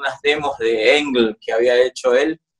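A man talks fairly slowly, and the background is quiet. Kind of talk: interview answer. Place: home room. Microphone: phone near.

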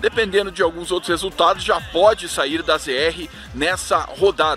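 The sound is dry with no echo, while clear music plays behind it. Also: man. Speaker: sports reporter. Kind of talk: news report. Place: open country. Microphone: phone near.

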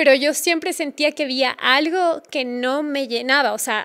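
At a moderate pace, a woman talks in a high pitch with ordinary pitch variation. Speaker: podcast guest, travel blogger. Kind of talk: interview answer. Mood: warm, reflective. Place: studio. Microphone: studio mic.

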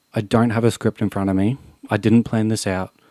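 Delivered at a fairly quick pace in an Australian accent, the speech is monotone and flat with a dark, mellow tone against a quiet background. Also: man, dry sound with no echo. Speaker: YouTuber. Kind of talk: vlog monologue. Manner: unscripted, earnest. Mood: serious, emotional, frustrated. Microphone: studio mic.

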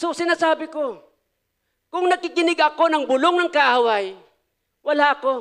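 Against a quiet background, a man speaks loud at an extremely high pitch and a moderate pace, animated in tone with ordinary pitch variation and long, frequent pauses. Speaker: pastor. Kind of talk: sermon. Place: church. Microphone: handheld.

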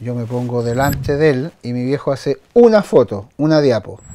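Ordinary pitch variation from a man, light background noise behind him. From France. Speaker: photographer. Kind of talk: personal storytelling. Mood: reflective, storytelling. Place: home room.

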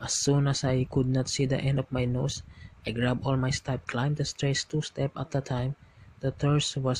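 A man's medium-pitched, somewhat breathy voice at a moderate pace, monotone and flat in intonation, with a dry, close sound and no echo. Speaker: storyteller reading creepy stories. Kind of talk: scripted horror narration.

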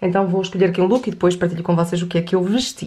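A woman speaks in a European Portuguese accent. Her pace is very fast. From Portugal. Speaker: lifestyle vlogger. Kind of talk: casual vlog chat to camera. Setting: at home, kitchen. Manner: chatty, informal. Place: home room.

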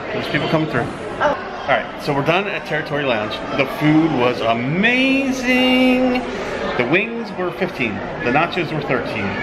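Someone talks at a moderate pace with music playing in the background. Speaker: vlogger. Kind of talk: casual vlog chat. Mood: cheerful, enthusiastic. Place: bar. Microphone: phone near.

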